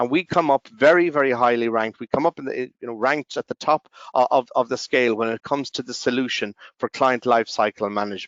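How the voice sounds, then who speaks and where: Very fast speech from a man at medium pitch. His pitch variation is ordinary. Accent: Irish. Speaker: company representative. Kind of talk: conference presentation. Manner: halting, many fillers.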